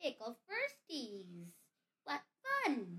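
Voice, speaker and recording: A put-on character voice cackles at a high pitch. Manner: wicked, gleeful.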